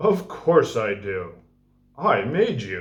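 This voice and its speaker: A man performs a put-on character voice with a warm, gentle tone. His pitch swings very widely. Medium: read story.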